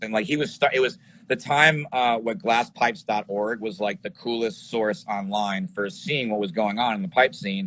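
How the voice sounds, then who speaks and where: With an American accent and a plain, everyday voice, a man at medium pitch talks at a moderate pace, using lively intonation and hardly any pauses. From New York City area. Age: 40s. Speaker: glass pipe maker and filmmaker. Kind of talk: casual interview. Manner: casual, filler-heavy.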